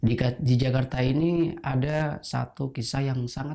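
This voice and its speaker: A man speaks in a dark, mellow tone that is somewhat breathy. His pace is moderate. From Indonesia, Pekalongan (Central Java). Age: 20s. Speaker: batik trader sharing life story. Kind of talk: personal testimony.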